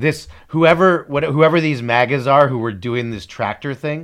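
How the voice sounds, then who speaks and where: A man's plain, everyday voice, fairly high in pitch, at a moderate pace with ordinary pitch variation. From Canada. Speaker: podcast co-host. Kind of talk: casual chat.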